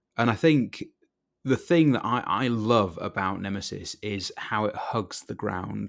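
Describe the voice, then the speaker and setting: Speaking fairly slowly, a man talks with a Yorkshire accent. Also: very clean recording, silent background. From Yorkshire, northern England. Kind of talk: casual chat.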